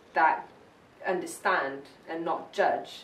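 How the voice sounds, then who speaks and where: The speech comes at a fairly slow pace. Audible room echo and noticeable background noise are present. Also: woman. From South Africa, Johannesburg. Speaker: interviewee. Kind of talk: oral history interview.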